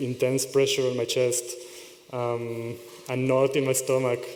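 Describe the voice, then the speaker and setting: Audible room echo and noticeable background noise surround the recording. A man with a medium pitch speaks in a monotone, flat intonation. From Israel. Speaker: conference speaker. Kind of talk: conference talk. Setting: stage with audience. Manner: fast.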